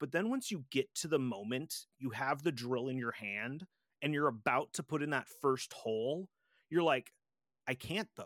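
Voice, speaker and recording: On a very clean recording with a silent background and a dry, close sound with no echo, a man with a plain, everyday voice and fairly high pitch speaks at a moderate pace with lively intonation. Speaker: podcast host. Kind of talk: casual chat.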